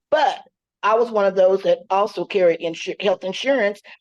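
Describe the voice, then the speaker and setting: This is a woman with an ordinary speaking voice. Her pitch is medium, with ordinary variation. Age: 60s. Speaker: social worker, audience member. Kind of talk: question and answer comment.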